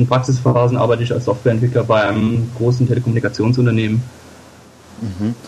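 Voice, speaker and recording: A man's medium-pitched, flat monotone at a very fast pace, broken by long, frequent pauses. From Germany, Koblenz area (Rhineland-Palatinate). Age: 20s. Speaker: politician, party candidate. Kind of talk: interview.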